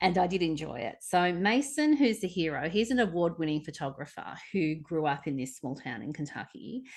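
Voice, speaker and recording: An Australian accent from a woman at a fairly low pitch, very wide pitch swings and hardly any pauses, over a quiet background. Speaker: podcast co-host. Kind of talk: casual book discussion. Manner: hesitant, many fillers.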